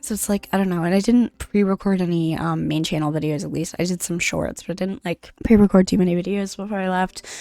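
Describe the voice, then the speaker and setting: Quiet and dark, mellow in tone, a woman speaks at a fairly quick pace with a dry, close sound and no echo. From Canada. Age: 20s. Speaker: gaming YouTuber. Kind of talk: casual gameplay commentary. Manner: halting.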